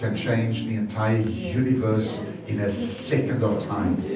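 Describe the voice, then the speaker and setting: A man speaks at a fairly low pitch. Audible room echo surrounds him, with faint music in the background. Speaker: pastor. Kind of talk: prayer then sermon. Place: church.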